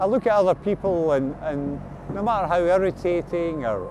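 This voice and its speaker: Against noticeable background noise, a man speaks at a moderate pace with lively intonation. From Glasgow, Scotland. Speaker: Big Issue seller, formerly homeless. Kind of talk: documentary interview answer. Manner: reflective, hesitant.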